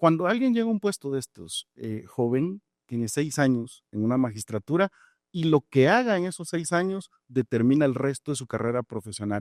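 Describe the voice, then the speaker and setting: A man speaks with very wide pitch swings. The sound is dry and close with no echo, on a very clean recording with a silent background. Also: fairly high pitch for a man, moderate pace. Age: 40s. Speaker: judge and judicial candidate. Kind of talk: interview answers. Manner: measured, formal.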